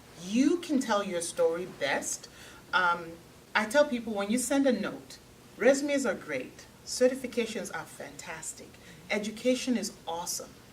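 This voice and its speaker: Pitch swings very widely and loudness shifts a lot, at a moderate pace. Background noise is noticeable. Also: woman, fairly high pitch for a woman. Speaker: technology recruiter. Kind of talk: panel talk to audience.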